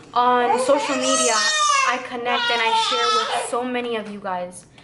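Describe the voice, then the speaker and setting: Fairly high in pitch with fairly even intonation, a woman speaks amid noticeable background noise and audible room echo. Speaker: vlogger, new mother. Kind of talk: emotional personal vlog. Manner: slow.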